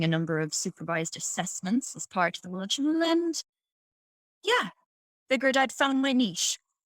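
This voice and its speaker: In an Irish accent, a woman speaks at a moderate pace with a dry, close sound and no echo. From Ireland. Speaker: piano teacher. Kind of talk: podcast interview answer.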